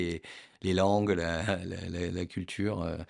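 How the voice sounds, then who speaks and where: Fairly even in its intonation, the speech is captured in a very clean recording with a silent background. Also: man. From southwest France, Lot-et-Garonne. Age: 40s. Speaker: entrepreneur, property dealer. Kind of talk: casual interview. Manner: hesitant, many fillers and repetitions.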